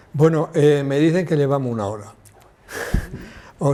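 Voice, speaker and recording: A man's voice against noticeable background noise. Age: 70s. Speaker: TV health show host. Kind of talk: TV talk show interview.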